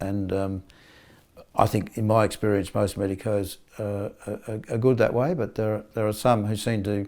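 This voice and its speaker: A man with an Australian accent, fairly low pitch and fairly even intonation, in a very clean recording with a silent background. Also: moderate pace. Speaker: polio survivor and advocate. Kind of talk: interview testimony. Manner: halting, many repetitions.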